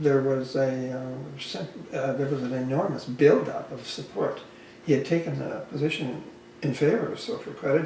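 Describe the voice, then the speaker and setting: Noticeable background noise and audible room echo accompany a man with a medium pitch talking at a moderate pace with ordinary pitch variation. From Canada, Alberta. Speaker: social credit advocate. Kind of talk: casual chat. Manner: halting.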